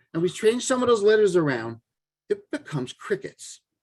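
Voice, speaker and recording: A man speaks with very wide pitch swings. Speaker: parenting coach. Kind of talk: lecture.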